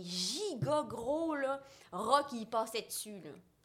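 This woman's voice is raised and projected, high in pitch. Her pitch swings very widely. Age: 20s. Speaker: visual artist and entrepreneur. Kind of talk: casual interview.

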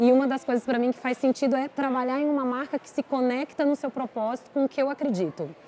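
This woman's high voice moves at a very fast pace with hardly any pauses. Her intonation is fairly even. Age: 40s. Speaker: beauty company executive. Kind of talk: casual interview. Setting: restaurant with live audience.

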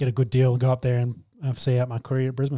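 A man speaks with an Australian accent at a fairly quick pace. His medium-pitched voice has a dark, mellow tone and monotone, flat intonation. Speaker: sports podcast host. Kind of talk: casual chat.

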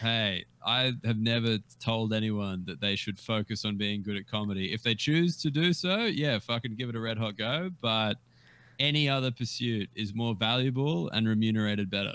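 A man with an Australian accent speaks at a moderate pace, his medium pitch showing ordinary variation. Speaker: comedian. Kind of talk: casual chat. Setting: video call.

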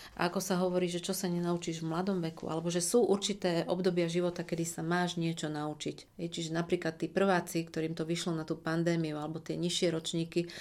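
In a monotone, flat delivery, a woman with a fairly low pitch talks at a fairly quick pace. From Slovakia, Košice. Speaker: communication trainer. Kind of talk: interview.

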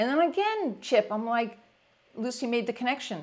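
Speaking with an American accent at a moderate pace, a woman has a fairly high pitch and very wide pitch swings. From US Northeast, near New York City. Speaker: leadership coach. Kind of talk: interview. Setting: video call. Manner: energetic.

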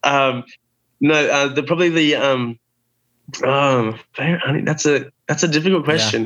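With an Australian accent, a man talks at a fairly slow pace and fairly high pitch, using long, frequent pauses, fairly even intonation and very even loudness over a quiet background. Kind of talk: interview. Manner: halting, many fillers.

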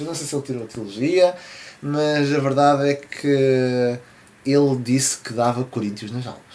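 Medium pitch from a man, with noticeable background noise behind him. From Portugal. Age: 20s. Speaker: podcast host. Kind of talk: casual chat.

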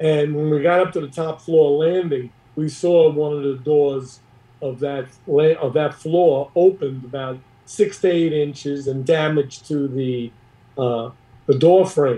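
This man speaks fairly slowly in an American accent, his pitch fairly high and his intonation fairly even. His voice is somewhat breathy. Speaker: retired police detective. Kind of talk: interview storytelling.

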